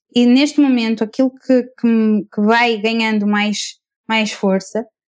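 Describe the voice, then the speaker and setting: At a fairly slow pace, a woman speaks with fairly even intonation. Her pitch is high. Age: 20s. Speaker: architect and coach. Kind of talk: casual chat.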